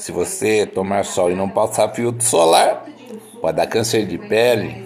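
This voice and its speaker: At a fairly slow pace, the speech carries lively intonation while noticeable background noise runs underneath. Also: man, medium pitch for a man. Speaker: podcaster. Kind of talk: casual monologue. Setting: at home. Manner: animated.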